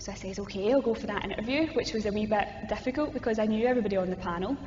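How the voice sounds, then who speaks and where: With music playing in the background and audible room echo, a woman with a strong Glasgow accent talks very fast at a medium pitch. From Scotland, Glasgow. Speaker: youth ministry coordinator. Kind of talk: interview conversation. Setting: cathedral hall.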